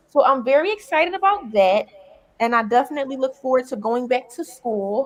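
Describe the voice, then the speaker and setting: A woman speaks with a Philadelphia accent at a high pitch. Her pace is fairly quick, with ordinary pitch variation. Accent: Philadelphia American English. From Philadelphia, US. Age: 20s. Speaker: content creator and comedian. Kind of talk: interview.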